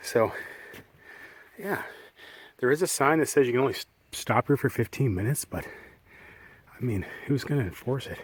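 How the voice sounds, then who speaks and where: A somewhat breathy man with a fairly high pitch, lively intonation, and long, frequent pauses. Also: moderate pace. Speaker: shanty boat traveler vlogger. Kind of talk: casual talk to camera.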